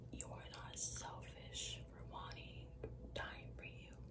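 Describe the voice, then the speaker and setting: A woman whispers in a gentle tone at a very slow pace. Loud background noise fills the recording. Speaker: ASMR creator. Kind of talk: ASMR positive affirmations for sleep. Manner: slow, gentle, repetitive, whispery. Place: bathroom. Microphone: phone near.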